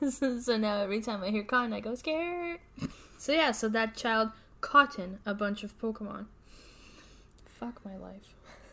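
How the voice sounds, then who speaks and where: A woman speaks at a moderate pace with long, frequent pauses and big swings in loudness. Her tone is bright and sharp, her pitch fairly high with ordinary variation. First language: not English. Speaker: podcast co-host. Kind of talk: casual podcast chat. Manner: animated.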